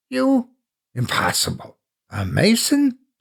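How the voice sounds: Putting on a character voice, a man speaks slowly at a high pitch with vocal fry, a slightly husky edge and very wide pitch swings.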